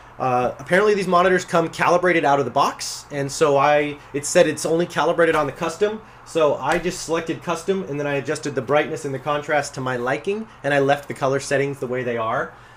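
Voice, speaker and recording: A man with a fairly high pitch, ordinary pitch variation, a very fast pace and hardly any pauses, over noticeable background noise. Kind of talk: casual product review to camera. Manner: fast, rambling.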